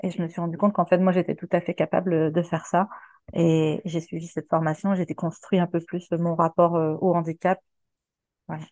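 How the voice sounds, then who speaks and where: A woman with a dark, mellow tone and monotone, flat intonation at a moderate pace, dry and close with no echo against a quiet background. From Quebec. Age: 40s. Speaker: sex worker. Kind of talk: interview. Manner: hesitant, many fillers.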